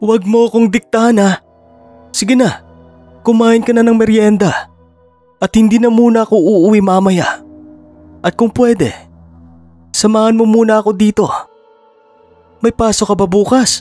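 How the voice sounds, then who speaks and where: A man speaks in a gruff, put-on character voice, pitched high for a man, with flat, monotone intonation at a moderate pace. Long pauses come often, and faint music plays in the background. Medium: read story. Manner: gruff, curt.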